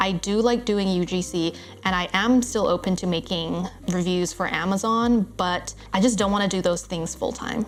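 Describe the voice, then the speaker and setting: Noticeable background noise runs through the recording. The intonation stays fairly even, and the pace is moderate. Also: woman, medium pitch for a woman. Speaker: online business owner. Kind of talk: casual talk to camera. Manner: uptalk, voice going up.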